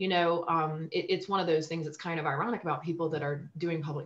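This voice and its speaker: Very deep and low in pitch, a woman talks at a very fast pace with ordinary pitch variation. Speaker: guest. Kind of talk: interview answer. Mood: reflective, personal. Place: home room. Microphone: video call.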